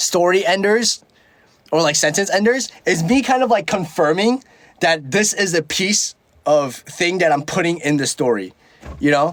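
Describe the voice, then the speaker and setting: High-pitched and lively in intonation, a man talks at a moderate pace. His loudness stays very even. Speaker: livestreamer. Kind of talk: casual livestream chat. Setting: livestream. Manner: filler-heavy, halting speech.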